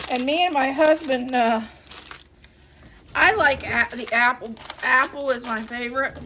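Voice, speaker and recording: A woman speaks in a raised, projected voice with a high pitch and ordinary pitch variation. Her pace is fairly slow, with long, frequent pauses over noticeable background noise. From Ohio. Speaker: home cleaning vlogger. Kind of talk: casual vlog tutorial. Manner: casual, halting with restarts.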